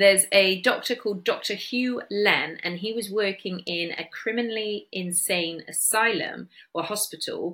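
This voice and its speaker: In a Bristol accent, a woman talks at a fairly slow pace with hardly any pauses, a medium pitch, fairly even intonation and a bright, sharp tone. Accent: Bristolian English. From Bristol, England. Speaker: podcast host. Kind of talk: solo podcast talk on wellness.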